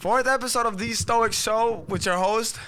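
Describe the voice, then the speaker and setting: In a room with audible echo, a man raises and projects his voice, extremely high in pitch with a bright, sharp tone. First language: not English. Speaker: podcast host. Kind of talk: casual chat. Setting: home recording.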